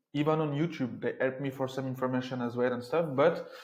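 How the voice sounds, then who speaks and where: Here a man is speaking. He has a French accent. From France. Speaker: entrepreneur and residency consultant. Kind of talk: informational talk to camera. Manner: conversational, some hesitations.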